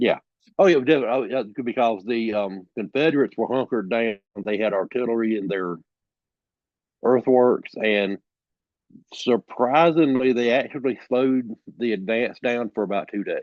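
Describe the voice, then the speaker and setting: A man with a Southern US accent at a moderate pace, medium pitch and ordinary pitch variation, broken by long, frequent pauses. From South Carolina. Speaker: author and storyteller. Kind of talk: interview answer. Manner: casual, hesitant.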